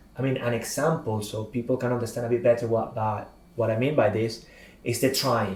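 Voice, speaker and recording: Amid noticeable background noise, a man with a Spanish accent speaks at a fairly quick pace with fairly even intonation. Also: medium pitch for a man. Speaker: public speaking and communication trainer. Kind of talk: podcast interview.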